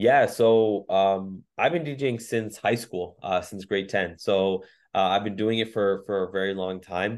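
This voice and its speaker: A man with a Canadian accent, fairly low pitch, fairly even intonation, a fairly slow pace and hardly any pauses. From Canada, Mississauga (Ontario). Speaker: DJ and entrepreneur. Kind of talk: interview conversation. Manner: hesitant, many fillers and repetitions.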